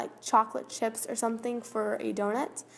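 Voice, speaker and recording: Fairly high-pitched female voice at a moderate pace, an unremarkable speaking voice. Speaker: craft tutorial youtuber. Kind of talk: tutorial. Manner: casual, chatty.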